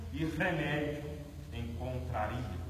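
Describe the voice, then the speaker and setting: Amid audible room echo and light background noise, a man speaks at a very slow pace. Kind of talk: poem declamation. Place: church. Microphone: camera far.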